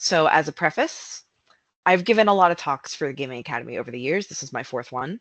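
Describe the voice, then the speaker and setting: With an American accent, this voice moves at a very fast pace. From United States. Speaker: narrative designer. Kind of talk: conference talk.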